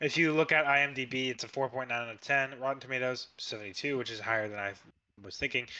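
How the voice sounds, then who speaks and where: A man speaks at a moderate pace with medium pitch, a plain, everyday voice and fairly even intonation. His loudness swings widely over a quiet background. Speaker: podcast co-host. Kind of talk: casual chat.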